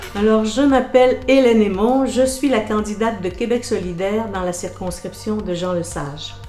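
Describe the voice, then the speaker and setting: Music plays in the background as a woman with a fairly high pitch talks at a moderate pace with hardly any pauses and ordinary pitch variation. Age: 60s. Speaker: political candidate. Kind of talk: interview.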